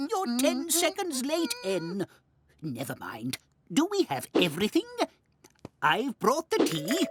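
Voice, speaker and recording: In a high-pitched, cartoonish character voice, the speaker goes at a fairly slow pace with long, frequent pauses. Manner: prim, bossy.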